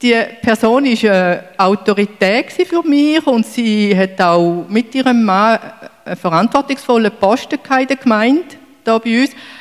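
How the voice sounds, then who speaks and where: Very slow, lively speech from a woman with a fairly high pitch. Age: 60s. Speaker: church member. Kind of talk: testimony.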